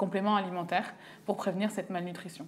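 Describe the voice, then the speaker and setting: Over light background noise, a woman speaks with monotone, flat intonation. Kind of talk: interview answer. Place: office. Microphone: lapel.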